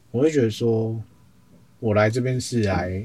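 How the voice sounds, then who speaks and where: A man's medium-pitched voice sounds somewhat breathy. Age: 20s. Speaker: social media editor at a mindfulness centre. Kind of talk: interview.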